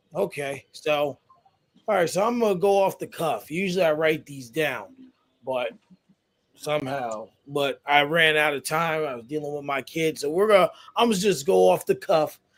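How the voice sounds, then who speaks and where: Fairly high-pitched, a man with a plain, everyday voice talks at a moderate pace, his intonation lively. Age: 30s. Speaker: podcast host. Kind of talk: casual interview.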